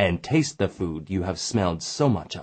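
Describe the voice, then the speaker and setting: A man puts on a growling character voice, very deep and low in pitch. He moves at a moderate pace with very wide pitch swings. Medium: read story. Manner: gentle, patient.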